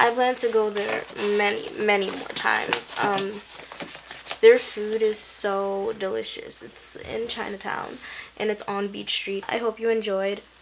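A woman talks slowly, at a fairly slow pace, in a monotone, flat intonation, with noticeable background noise behind her. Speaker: vlogger. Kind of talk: casual vlog chat. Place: home room. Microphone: phone near.

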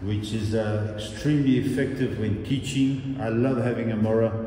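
A man at a moderate pace with monotone, flat intonation, amid light background noise and audible room echo. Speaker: karate instructor. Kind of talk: guided tour commentary. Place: hall.

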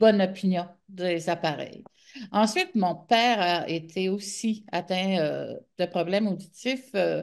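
The speaker is a woman, talking very slowly. Behind her, things stay quiet. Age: 60s. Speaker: author and media personality with hearing loss; interview guest. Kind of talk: interview. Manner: halting. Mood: reflective, warm storytelling. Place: home room. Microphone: video call.

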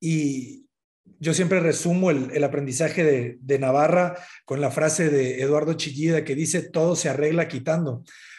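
Over a quiet background, the voice moves at a moderate pace with very even loudness and fairly even intonation. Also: man, fairly high pitch for a man. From northern Mexico, Sinaloa. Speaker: architect; guest. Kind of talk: interview. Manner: halting, many repetitions. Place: home room. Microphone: video call.

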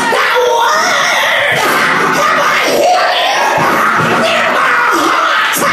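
Loud music fills the background and audible room echo surrounds the voice, which moves at a very slow pace. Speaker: preacher. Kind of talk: sermon. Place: church.

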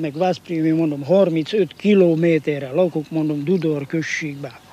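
Here a man speaks at a very slow pace. The sound is dry, with no echo. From Hungary. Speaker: former Soviet labor camp prisoner; interviewee. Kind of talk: testimony. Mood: earnest, recalling hardship. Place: garden. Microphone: old recording.

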